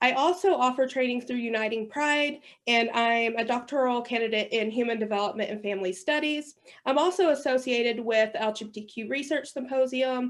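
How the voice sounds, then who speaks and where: A woman speaks at a fairly quick pace and a fairly high pitch, with ordinary pitch variation. It is a plain, everyday voice over a quiet background. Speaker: workshop facilitator. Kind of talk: training workshop presentation.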